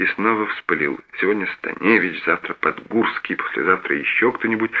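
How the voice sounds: A natural reading voice carries the whole clip.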